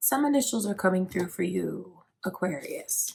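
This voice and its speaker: A woman talks at a very slow pace, her voice somewhat breathy. Her pitch varies in an ordinary way. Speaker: tarot reader. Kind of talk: tarot reading. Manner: casual, chatty.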